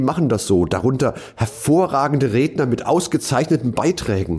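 Vocal fry and a dark, mellow tone mark this voice, which moves through very wide pitch swings at a moderate pace. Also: man. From western Germany (Rhineland-Palatinate), partly South Tyrol. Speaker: keynote speaker and podcast host. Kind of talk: reading aloud his own written essay.

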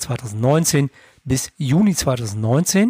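A dark, mellow tone marks this voice. There is some breathiness to it. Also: man, dry, close sound with no echo. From Lower Rhine, Germany. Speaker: finance podcaster, bank clerk. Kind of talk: scripted narration.

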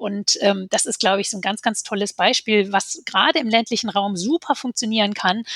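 A woman with a bright, sharp tone and a fairly high pitch speaks at a moderate pace, in a dry, close sound with no echo. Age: 40s. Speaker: politician. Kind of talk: casual chat.

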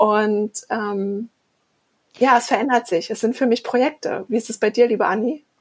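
This woman has an unremarkable speaking voice, talking at a moderate pace with fairly even intonation. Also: fairly high pitch for a woman. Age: 40s. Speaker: podcast co-host. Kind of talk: casual chat.

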